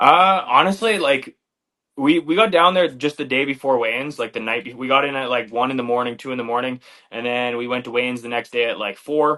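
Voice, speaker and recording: Speaking at a fairly quick pace, a man talks with a strong Canadian accent. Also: medium pitch for a man, ordinary pitch variation. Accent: Canadian, very obvious. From Canada, Flin Flon, Manitoba. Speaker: MMA fighter, former wrestler. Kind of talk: interview.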